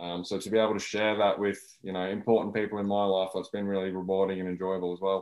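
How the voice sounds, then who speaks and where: This man has an Australian accent and a fairly low pitch. He talks very fast in a monotone, flat intonation. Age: 30s. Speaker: debut author. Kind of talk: interview.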